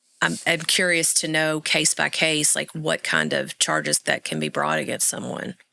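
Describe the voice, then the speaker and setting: A woman speaks at a moderate pace with hardly any pauses, in a dry, close sound with no echo. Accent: Arkansas. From Arkansas. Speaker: podcast co-host. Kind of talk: casual chat.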